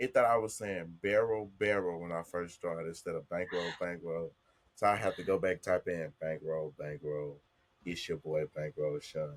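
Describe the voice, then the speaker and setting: With a strong Southern US accent, a man speaks at a moderate pace in a very deep, low pitch with ordinary pitch variation. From US South, Jackson, Mississippi. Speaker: content creator. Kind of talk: casual chat.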